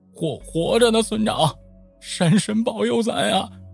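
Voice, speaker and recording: With faint music in the background, a man in a put-on character voice speaks at a high pitch and a moderate pace. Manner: emotional, thankful.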